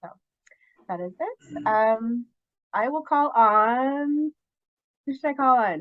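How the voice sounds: A woman speaks slowly at a fairly high pitch, her intonation lively.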